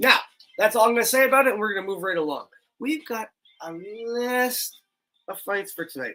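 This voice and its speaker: With a Canadian accent, a man speaks in a raised, projected voice at a fairly quick pace, his tone bright and sharp and his pitch swinging very widely. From Canada. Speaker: MMA show host. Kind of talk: casual fight preview talk.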